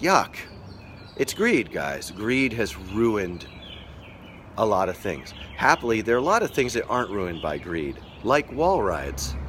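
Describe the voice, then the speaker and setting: A man's fairly low voice with very wide pitch swings, at a fairly slow pace with long, frequent pauses. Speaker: skateboarding livestream host. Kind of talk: casual live stream chat. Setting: live stream. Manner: halting, many fillers and restarts.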